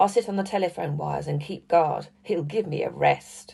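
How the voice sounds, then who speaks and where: A raspy, put-on character voice at middle pitch moves at a moderate pace. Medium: read story.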